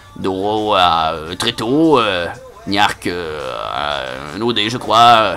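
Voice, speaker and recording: A man with a fairly low-pitched voice is heard against noticeable background noise. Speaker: online game player. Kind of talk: casual chat. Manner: hesitant, many fillers.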